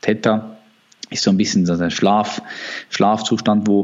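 A man speaks at a moderate pace and a fairly low pitch, with noticeable background noise. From Switzerland. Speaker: natural bodybuilder. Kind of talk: interview. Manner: halting.

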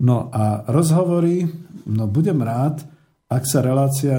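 Somewhat breathy, a man speaks in a dark, mellow tone. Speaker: radio host. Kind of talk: radio talk show. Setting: studio.

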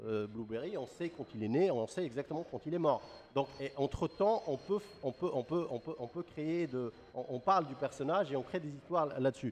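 This man has a fairly high pitch and lively intonation, talking at a moderate pace. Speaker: comics expert guest. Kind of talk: casual chat. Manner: halting.

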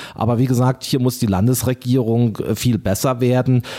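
With a dark, mellow tone, a man speaks at a medium pitch. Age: 40s. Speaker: town mayor and bank clerk. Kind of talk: interview.

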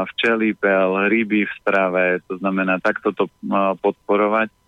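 A man speaks at a fairly slow pace in a fairly low pitch with monotone, flat intonation. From Slovakia, Orava region. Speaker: healthy eating consultant. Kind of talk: radio interview, giving health advice. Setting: phone call.

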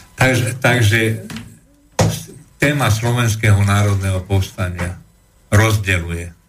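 Over noticeable background noise, a man speaks at a fairly slow pace in a fairly low pitch. His intonation is fairly even, and he takes long, frequent pauses. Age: 70s. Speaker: historian and political commentator. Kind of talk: interview on history. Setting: radio studio.

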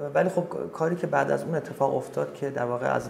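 A man at a very fast pace. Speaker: singer. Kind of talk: interview.

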